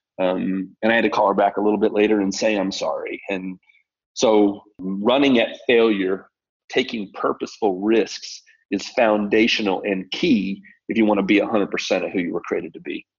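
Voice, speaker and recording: A man's unremarkable speaking voice at a fairly low pitch, with fairly even intonation and a moderate pace. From Colorado. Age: 50s. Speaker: mindset coach. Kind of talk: interview.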